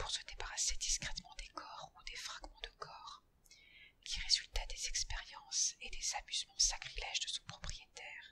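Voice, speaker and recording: Whispering at a fairly slow pace is what this woman does. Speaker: ASMR artist. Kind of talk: whispered horror story reading for sleep. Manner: whispered, soft.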